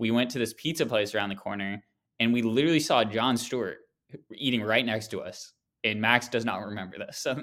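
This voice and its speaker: In an ordinary speaking voice, a man talks at a fairly quick pace with medium pitch and fairly even intonation, captured in a very clean recording with a silent background. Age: 20s. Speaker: sports card podcast host. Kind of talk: casual chat.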